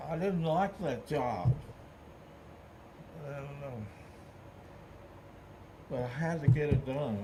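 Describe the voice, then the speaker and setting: Against noticeable background noise, a man talks fairly slowly with ordinary pitch variation. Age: 80s+. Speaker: World War II veteran. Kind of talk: interview answer.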